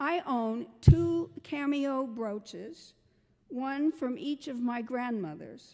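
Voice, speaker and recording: The voice has a dark, mellow tone and lively intonation, moving at a very slow pace with big swings in loudness. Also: woman, high pitch for a woman. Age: 80s+. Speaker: guest preacher. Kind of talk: sermon.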